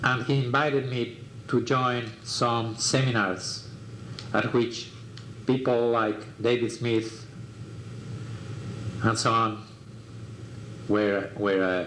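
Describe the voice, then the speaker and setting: A man with a Mexican accent talks very slowly at medium pitch, leaving long, frequent pauses, with fairly even intonation, very even loudness and audible room echo. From Mexico. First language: Spanish. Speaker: artist. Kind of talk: life story interview. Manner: halting, many fillers.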